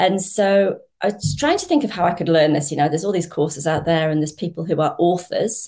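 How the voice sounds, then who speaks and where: A woman talks at a fairly quick pace with hardly any pauses, her pitch fairly low with ordinary variation. Her tone is dark and mellow, somewhat breathy. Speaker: online business investor. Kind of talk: casual interview.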